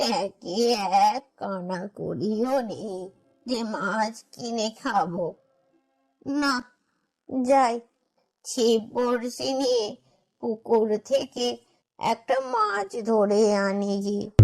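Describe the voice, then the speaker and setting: This is a cartoonish character voice that sounds female, with a fairly high pitch. It moves at a very slow pace. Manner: complaining, talks to herself.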